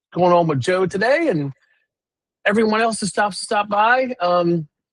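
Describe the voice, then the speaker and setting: A loud, animated man at a moderate pace, with lively intonation and a dry, close sound with no echo. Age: 50s. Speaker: recruiter and live show host. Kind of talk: live stream casual chat.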